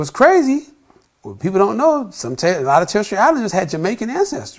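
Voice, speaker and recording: With an American accent, a man talks at a very fast pace, his pitch swinging very widely. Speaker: travel vlogger. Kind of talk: casual talk to camera.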